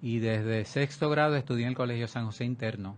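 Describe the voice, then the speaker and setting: Here a man speaks in an unremarkable speaking voice. His pitch is medium and his pace fairly quick. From Puerto Rico, Vega Baja. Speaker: architect and art collector. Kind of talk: interview.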